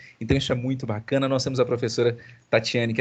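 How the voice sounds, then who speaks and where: Against a quiet background, a man talks at a medium pitch in a somewhat breathy voice. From Minas Gerais, Zona da Mata (Brazil). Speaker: university professor. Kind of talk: online class meeting with students. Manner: fast; animated.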